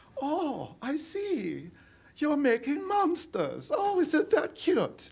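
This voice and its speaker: This is a put-on character voice with a German accent and a high pitch. The delivery comes at a very slow pace. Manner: mocking, condescending.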